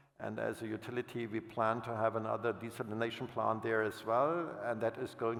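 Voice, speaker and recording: A man with a German accent, medium pitch and a fairly quick pace. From Germany. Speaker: utility finance executive. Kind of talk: panel fireside chat. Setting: stage with audience. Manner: halting, with self-corrections.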